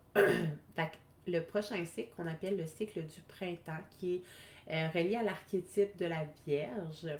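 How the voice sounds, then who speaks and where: With a Quebec accent, a woman speaks very slowly in a fairly low pitch and ordinary pitch variation. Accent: Québécois French. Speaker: wellness coach. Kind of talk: live stream talk. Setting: live video stream.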